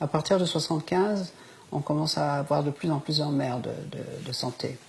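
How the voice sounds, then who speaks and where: Noticeable background noise is present. A woman talks at a moderate pace. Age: 70s. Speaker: interviewee on end-of-life choice. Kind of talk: interview. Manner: hesitant with many fillers.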